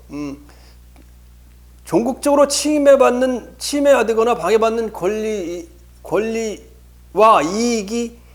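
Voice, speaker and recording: Room echo is audible as a man speaks at a very slow pace with long, frequent pauses. His voice is high in pitch, with lively intonation. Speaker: law lecturer. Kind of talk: lecture. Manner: halting, many repetitions and fillers.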